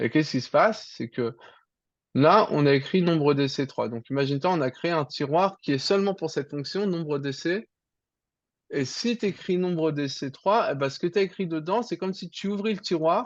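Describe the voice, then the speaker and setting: Lively intonation marks a man's high-pitched voice. He talks at a moderate pace over a quiet background. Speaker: programming teacher. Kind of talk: online tutoring lesson.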